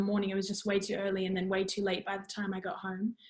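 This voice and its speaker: This woman speaks with an Australian accent. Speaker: musical theatre student. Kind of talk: casual interview. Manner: loud; halting.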